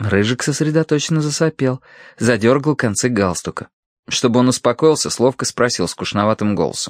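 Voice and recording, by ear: The background stays quiet. A person is reading aloud in a natural voice.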